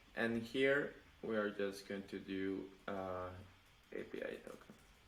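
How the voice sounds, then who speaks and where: Audible room echo surrounds this recording. A man talks at a fairly low pitch. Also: fairly even intonation, fairly slow pace. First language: not English. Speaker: web developer, channel host. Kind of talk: pair programming session. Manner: halting.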